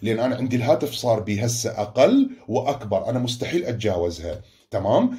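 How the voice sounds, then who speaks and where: A man's voice at a moderate pace, with hardly any pauses. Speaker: school teacher. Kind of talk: online lesson.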